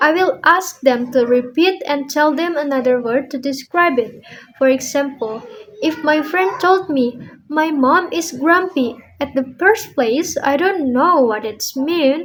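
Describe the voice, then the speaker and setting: A woman with an Indonesian accent speaks at a fairly slow pace in a high voice. Her pitch varies in an ordinary way. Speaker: language student. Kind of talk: speaking assignment monologue. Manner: halting.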